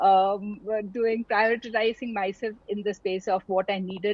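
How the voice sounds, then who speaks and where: A somewhat breathy woman's voice. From India, Tamil family, army postings. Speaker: doctor and entrepreneur. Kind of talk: interview conversation. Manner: hesitant, many fillers.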